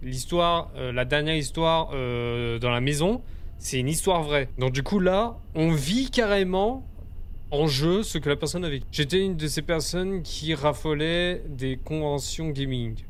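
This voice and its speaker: Spoken at a fairly slow pace with lively intonation, the voice carries audible room echo. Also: man, fairly high pitch for a man. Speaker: gaming video creator. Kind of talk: let's play commentary.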